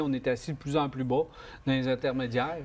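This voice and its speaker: In a Quebec accent, a man talks with fairly even intonation. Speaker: car show host. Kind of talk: casual panel discussion.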